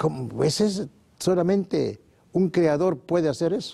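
A dark, mellow tone at a fairly slow pace. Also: man. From Mexico. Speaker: naturopathic doctor, sanatorium founder; guest. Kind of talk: TV interview. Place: studio. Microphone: lapel.

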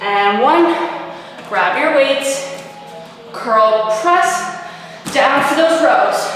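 Strong room echo and faint background music surround a high-pitched woman speaking at a very slow pace. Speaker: fitness instructor. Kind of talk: workout instruction cues. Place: gym.

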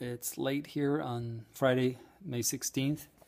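The voice belongs to a man. He talks in a monotone, flat way. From Ireland. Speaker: emigrant small business owner. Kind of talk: personal video message. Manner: halting. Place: home room. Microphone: phone near.

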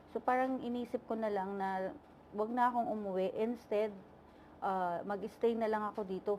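Here a woman speaks at a moderate pace in a medium pitch. Her tone is dark and mellow, with ordinary pitch variation. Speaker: overseas worker vlogger. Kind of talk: vlog monologue. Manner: halting, many fillers.

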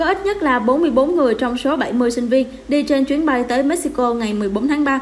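A woman's high-pitched voice at a fast pace, with faint background noise

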